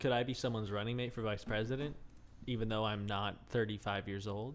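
Using a normal speaking voice with an American accent, a man talks at a moderate pace with a fairly low pitch and ordinary pitch variation. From United States. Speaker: comedy podcast host. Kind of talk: casual chat.

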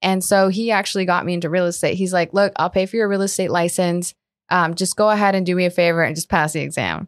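Talking at a very fast pace, a woman keeps a medium pitch and a monotone, flat intonation. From Colombia, moved to South Florida. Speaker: commercial real estate advisor. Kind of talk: casual interview.

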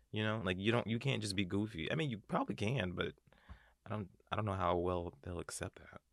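The pace is fairly quick, with ordinary pitch variation. It is an ordinary speaking voice. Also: man, fairly low pitch for a man. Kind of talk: casual chat.

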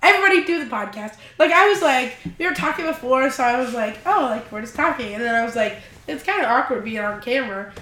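Over noticeable background noise and audible room echo, a woman talks very fast in a high voice with very wide pitch swings. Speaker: podcast guest. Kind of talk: casual chat. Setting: video podcast on camera. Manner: fast, with filler words.

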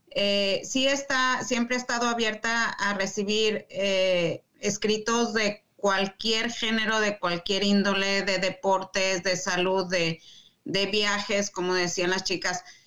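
A woman speaks at a very slow pace in a medium-pitched, bright and sharp voice, with very even loudness, fairly even intonation and hardly any pauses. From Mexico City. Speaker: magazine founder and community organizer. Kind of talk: casual chat.

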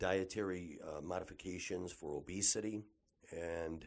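With a Michigan accent, a man speaks at a very deep, low pitch with ordinary pitch variation. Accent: Midwestern American (Michigan). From Detroit area, Michigan. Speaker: physician (ENT and cosmetic surgeon). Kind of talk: promotional monologue. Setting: clinic office.

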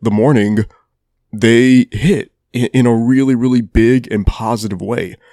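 This man's voice has a dark, mellow tone and medium pitch, with fairly even intonation, a fairly slow pace, and a dry, close sound with no echo. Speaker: music podcast host. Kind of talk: solo podcast monologue reviewing music and festival news. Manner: casual, opinionated, swears.

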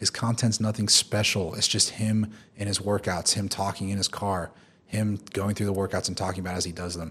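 A man's fairly low, monotone voice with flat intonation at a fairly quick pace on a very clean recording with a silent background. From Oklahoma, US. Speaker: fitness influencer and trainer. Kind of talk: podcast interview.

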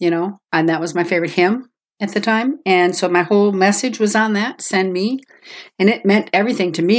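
A woman with a normal speaking voice talks fairly quickly at medium pitch. Her pitch varies in an ordinary way, on a very clean recording with a silent background. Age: 60s. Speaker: guest sharing faith testimony. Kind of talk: testimony.

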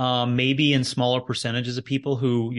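The man has a plain, everyday voice at medium pitch. He keeps a moderate pace, and the background is quiet. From Canada. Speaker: fitness podcast co-host. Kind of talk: casual chat.

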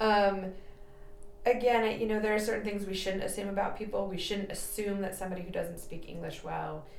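A woman with an American accent, medium pitch and monotone, flat intonation at a fairly quick pace, with audible room echo and noticeable background noise. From California, San Jose area. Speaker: physician assistant. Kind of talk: interview.

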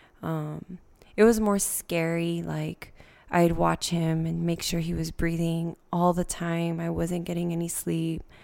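At a fairly slow pace, a woman speaks. The recording is very clean, with a silent background. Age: 20s. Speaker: teacher and single mom. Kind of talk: casual chat. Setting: home studio in a loft.

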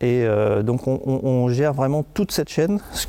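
The man speaks at a moderate pace. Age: 50s. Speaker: company director. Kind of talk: interview. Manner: halting.

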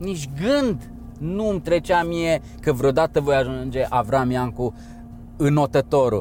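Music plays in the background as a man with a fairly high pitch speaks at a fairly slow pace with ordinary pitch variation. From Romania. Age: 40s. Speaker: endurance swimmer. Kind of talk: interview.

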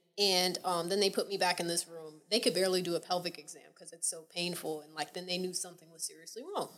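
With an American accent, a woman talks at a very fast pace and a medium pitch. Noticeable background noise runs under her voice. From Atlanta, Georgia, US South. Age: 20s. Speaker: podcast guest. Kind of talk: casual chat.

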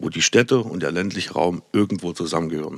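On a very clean recording with a silent background and dry, close sound with no echo, a man speaks at a moderate pace with lively intonation. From Saxony, Erzgebirge. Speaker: politician. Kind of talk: podcast interview.

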